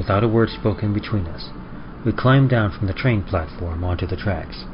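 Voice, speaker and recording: A man's fairly low voice at a moderate pace with ordinary pitch variation, over noticeable background noise. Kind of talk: first-person story narration of a tragic love story.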